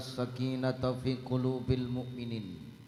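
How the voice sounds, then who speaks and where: Speaking very slowly, a man keeps to a medium pitch. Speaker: Islamic preacher. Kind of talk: humorous religious sermon.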